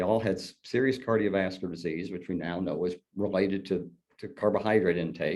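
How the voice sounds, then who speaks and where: A man with a very deep, low voice talks at a fairly quick pace, showing ordinary pitch variation. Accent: Southern US. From southern Indiana. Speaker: colorectal surgeon. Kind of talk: interview. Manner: halting.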